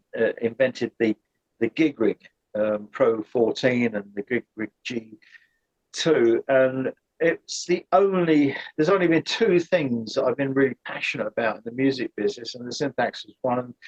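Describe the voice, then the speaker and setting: Dry and close with no echo, a man's medium-pitched voice with a British accent moves at a moderate pace with ordinary pitch variation and big swings in loudness. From Britain. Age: 70s. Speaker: former synth company employee, aircraft engineer. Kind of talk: interview conversation. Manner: halting, many repeated words.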